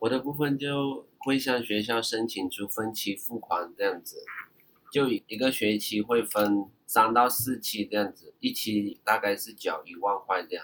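A man with a medium pitch and an ordinary speaking voice, at a fairly slow pace, with ordinary pitch variation and big swings in loudness. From Myanmar. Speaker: overseas Chinese university student. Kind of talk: casual interview chat.

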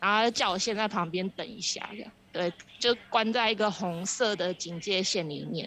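With a Taiwanese accent, a woman speaks at a moderate pace in a medium pitch, her intonation fairly even but her loudness swinging widely. Noticeable background noise runs behind her. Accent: Taiwanese Mandarin. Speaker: Taiwanese expat worker in COVID quarantine. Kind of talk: interview. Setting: phone call from quarantine center.

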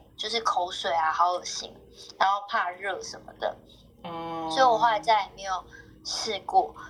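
A woman talks at a moderate pace in a normal speaking voice, with ordinary pitch variation. Her loudness swings widely. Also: medium pitch for a woman. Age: 30s. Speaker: podcast guest sharing family story. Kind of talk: casual chat, personal storytelling.

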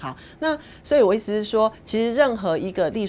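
This woman talks at a fairly quick pace. Her pitch swings very widely. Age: 40s. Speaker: public relations executive. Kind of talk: interview.

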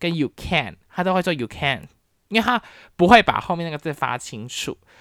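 On a very clean recording with a silent background, a woman with a Taiwanese accent and a fairly low pitch speaks at a moderate pace in an animated tone with vocal fry. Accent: Taiwanese Mandarin. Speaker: podcast host, university professor. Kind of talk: casual solo talk.

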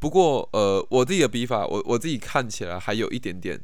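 A man is speaking. Room echo can be heard. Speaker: podcast host. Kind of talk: casual monologue. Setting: at home in his room. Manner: halting, many repetitions and fillers.

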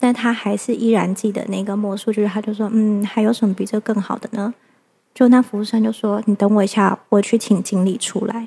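A woman with a fairly high pitch talks at a moderate pace in a monotone, flat way, with hardly any pauses and big swings in loudness. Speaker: mother and mind-body-spirit practitioner. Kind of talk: casual interview chat.

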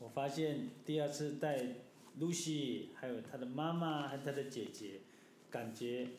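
Noticeable background noise and audible room echo surround a man with a fairly high pitch. He talks at a fairly slow pace with ordinary pitch variation. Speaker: mountaineer, father. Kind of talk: casual chat.

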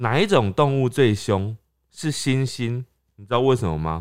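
A man talks at a medium pitch, his intonation lively. The background is silent and the recording very clean. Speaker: podcast co-host. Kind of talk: casual chat.

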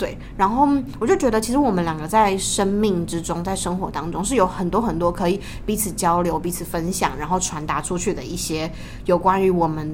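Audible room echo surrounds a woman who talks at a medium pitch and moderate pace with ordinary pitch variation. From Taiwan, Tainan. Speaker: podcast co-host, university student. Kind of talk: casual chat. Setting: university library study room.

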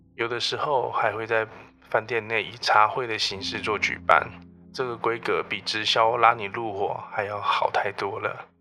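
At a fairly slow pace, a man talks in a bright, sharp tone at medium pitch with monotone, flat intonation. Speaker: HR professional and podcast host. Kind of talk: solo storytelling podcast monologue. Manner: listless, flat tone.

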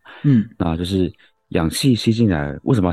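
A man's dark, mellow voice at a fairly quick pace, dry and close with no echo. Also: quiet background. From Taiwan, Yilan. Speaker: medical doctor, co-host. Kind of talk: casual medical explanation.

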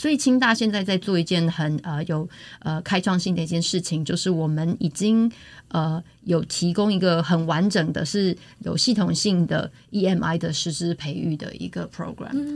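This woman has a normal speaking voice, fairly low in pitch, with ordinary pitch variation at a moderate pace on a very clean recording with a silent background. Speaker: university English lecturer. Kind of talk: interview.

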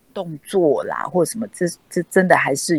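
A woman speaks at a moderate pace, the sound dry and close with no echo. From Taiwan, Kaohsiung. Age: 60s. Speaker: dancer. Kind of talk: interview. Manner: halting.

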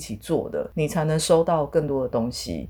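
A woman talks at a moderate pace in a very deep, low voice. Her tone is dark and mellow. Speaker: podcast host and yoga teacher. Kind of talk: casual solo talk about yoga and fertility.

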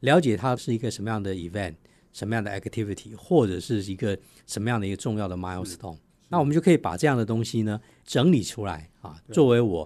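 The speaker goes at a very fast pace with lively intonation and a dark, mellow tone. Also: man, fairly low pitch for a man. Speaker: corporate sustainability officer and spokesperson. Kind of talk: radio interview.

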